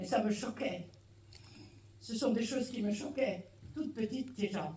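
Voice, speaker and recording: Amid noticeable background noise and audible room echo, a woman with a fairly high pitch speaks at a fairly slow pace with ordinary pitch variation. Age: 60s. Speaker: audience member at film screening. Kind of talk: public comment, personal testimony.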